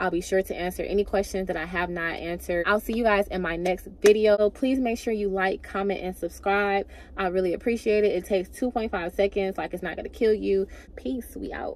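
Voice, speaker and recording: A woman speaks at a fairly quick pace with a medium pitch. Her intonation stays fairly even. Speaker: beauty vlogger. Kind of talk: vlog monologue. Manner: fast; casual.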